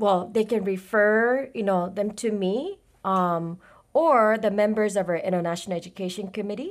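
On a very clean recording with a silent background, a woman with a Japanese accent speaks at a moderate pace with a fairly high pitch. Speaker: college international program coordinator. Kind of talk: interview.

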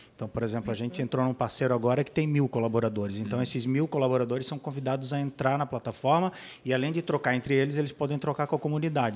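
A man rattles off his words at a very fast pace in a very clean recording with a silent background. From Blumenau, Santa Catarina, Brazil. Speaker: app co-founder. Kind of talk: podcast interview.

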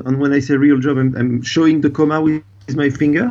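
A man speaks with a French accent at a fairly high pitch for a man. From France. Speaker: dive expedition operator. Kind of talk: interview. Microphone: delay on the line.

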